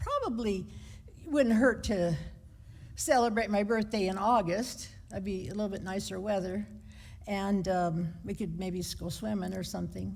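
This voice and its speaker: A woman with an American accent speaks at a moderate pace in a medium pitch, with ordinary pitch variation, some vocal fry and audible room echo. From United States. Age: 70s. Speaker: lay preacher. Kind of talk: sermon. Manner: conversational.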